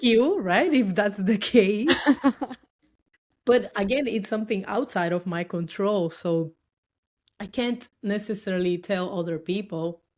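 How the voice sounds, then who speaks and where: A woman with a Dominican accent speaks at a fairly slow pace with long, frequent pauses. Her pitch is medium with ordinary variation. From Dominican Republic. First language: Spanish. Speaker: tech worker and cosplayer. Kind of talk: podcast interview answer.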